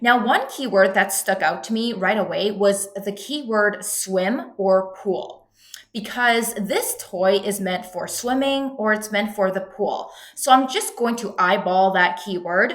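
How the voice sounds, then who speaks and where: A woman at a fairly slow pace with ordinary pitch variation, audible room echo and noticeable background noise. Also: medium pitch for a woman. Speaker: online business coach. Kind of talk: tutorial.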